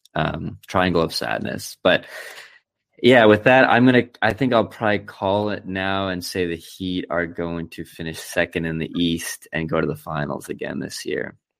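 With an American accent and some vocal fry, a man talks in a very deep, low voice with ordinary pitch variation on a very clean recording with a silent background. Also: moderate pace. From US South, Fort Lauderdale, Florida. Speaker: journalist and audio producer. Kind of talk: casual chat.

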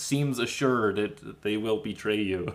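A man speaks in an ordinary speaking voice with an American accent, fairly low in pitch with ordinary pitch variation. His pace is fairly slow, and the recording is very clean with a silent background. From Minnesota, small town. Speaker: podcast host. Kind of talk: casual interview chat.

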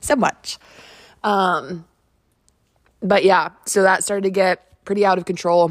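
A woman with a medium pitch speaks in an animated tone with long, frequent pauses. The sound is dry and close with no echo. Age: 20s. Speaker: solo podcast host. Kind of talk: casual monologue. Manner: fast.

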